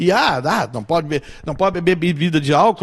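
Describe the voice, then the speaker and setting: At a fairly quick pace, a man with a high pitch speaks over a quiet background. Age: 60s. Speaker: musician and singer. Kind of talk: interview conversation.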